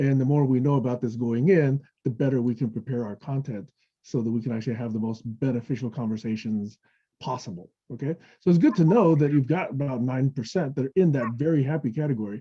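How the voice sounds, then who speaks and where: This man speaks very fast in a medium pitch, his voice somewhat breathy. His pitch varies in an ordinary way. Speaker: technology evangelist presenting a webinar. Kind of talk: webinar presentation with Q&A. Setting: online webinar. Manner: casual, conversational with frequent okay.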